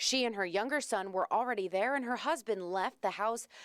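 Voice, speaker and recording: A woman talks at a moderate pace with lively intonation, in a plain, everyday voice. The sound is dry and close with no echo, and the recording is very clean with a silent background. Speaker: TV news anchor and reporter. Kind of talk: TV news anchor and reporter read.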